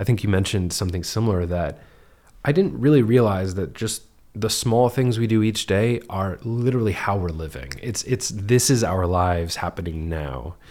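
A man's fairly low-pitched, normal speaking voice with lively intonation at a moderate pace. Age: 30s. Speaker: podcast host. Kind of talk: casual chat. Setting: living room.

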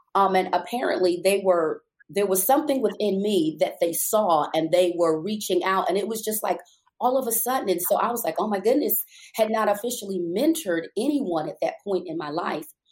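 Here a woman speaks at a fairly quick pace. Her intonation is lively. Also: medium pitch for a woman. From New York, Brooklyn. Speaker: life coach and pastor. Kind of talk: interview. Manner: hesitant, with fillers.

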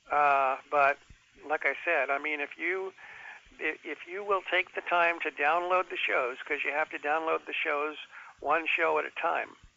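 A man's normal speaking voice, fairly high in pitch, at a fairly slow pace with fairly even intonation. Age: 60s. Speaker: caller. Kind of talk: casual chat. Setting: phone call.

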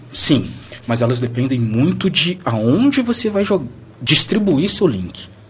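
Over noticeable background noise, a man speaks at a very slow pace with a fairly high pitch and very wide pitch swings. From Brazil, Bahia (Valença). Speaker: blogger. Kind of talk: casual chat. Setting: studio.

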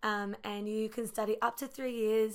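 With an Australian accent, a woman talks at a moderate pace in a fairly high voice. Her intonation is monotone and flat, and the recording is very clean with a silent background. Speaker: ministry student. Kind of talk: casual chat.

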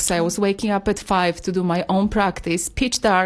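A woman's medium-pitched voice with fairly even intonation at a moderate pace. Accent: Polish. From Poland. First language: Polish. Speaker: yoga teacher and healer. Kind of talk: casual chat. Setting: studio.

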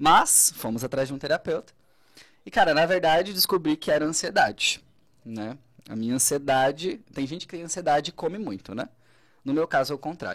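A man speaks at a fairly quick pace in a fairly high pitch, with a plain, everyday voice. His loudness swings widely, and the recording is very clean with a silent background. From Santa Catarina, southern Brazil (Braço do Norte). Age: 30s. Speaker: psychologist. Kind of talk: casual interview. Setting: radio studio, live.

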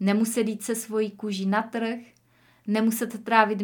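In a normal speaking voice, a woman talks at a fairly slow pace with fairly high pitch and fairly even intonation, on a very clean recording with a silent background. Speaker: podcast host, online entrepreneur. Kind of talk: solo podcast monologue, personal story.

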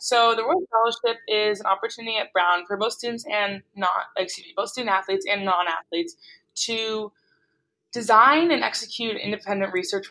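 Her tone is bright and sharp, at a medium pitch for a woman. She talks at a very fast pace with ordinary pitch variation. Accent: American. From Boston area. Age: 20s. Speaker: college basketball captain. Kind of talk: casual interview.

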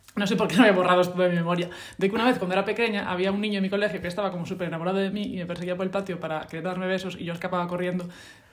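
Noticeable background noise runs under speech delivered at a very fast pace with hardly any pauses. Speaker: podcast co-host. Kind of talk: casual chat.

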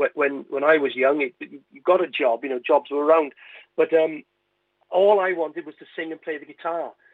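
With a Welsh accent, a man speaks at a fairly high pitch and a moderate pace with fairly even intonation. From West Wales (Carmarthen). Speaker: comedian and singer. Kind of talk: radio interview.

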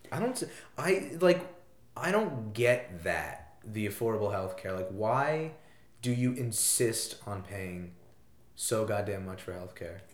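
A man with an American accent speaks very slowly at medium pitch, with lively intonation. Noticeable background noise is present. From US Northeast, southeastern Connecticut. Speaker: college student guest. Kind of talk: casual chat.

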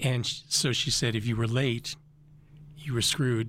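With an American accent, a man talks in a medium-pitched, somewhat breathy voice. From Boulder, Colorado. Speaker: retired campus tour guide and local historian. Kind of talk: radio interview. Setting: on campus, recording inside the building.

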